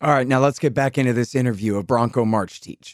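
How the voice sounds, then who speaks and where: Man with an ordinary speaking voice at a medium pitch, fairly even intonation, and a dry, close sound with no echo. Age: 40s. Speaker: radio host. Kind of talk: interview.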